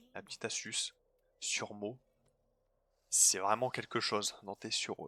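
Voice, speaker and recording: Recorded dry and close with no echo, a man speaks in a fairly low pitch with a bright, sharp tone. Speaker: gaming youtuber. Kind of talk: gameplay commentary. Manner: fast; casual, filler-heavy.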